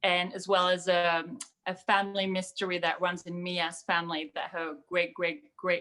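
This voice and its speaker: A woman with a French accent, fairly low in pitch, with a bright, sharp tone, monotone, flat intonation and a moderate pace. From France, outside Paris. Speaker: young adult author. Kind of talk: panel discussion.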